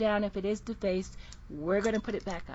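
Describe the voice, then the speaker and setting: Somewhat breathy, a woman speaks at a fairly quick pace in a monotone, flat intonation. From Jamaica. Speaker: minister. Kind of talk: casual interview chat.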